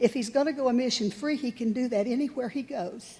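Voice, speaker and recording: Against noticeable background noise, a woman speaks fairly quickly at a high pitch with ordinary pitch variation. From Oklahoma, Lawton. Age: 70s. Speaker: resident giving public comment. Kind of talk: public comment at city meeting.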